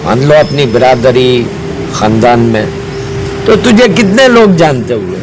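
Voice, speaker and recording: A man's pitch swings very widely while noticeable background noise continues behind him. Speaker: Islamic preacher (maulana-style). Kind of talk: Islamic sermon / religious advice talk. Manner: earnest, direct address, repetitive.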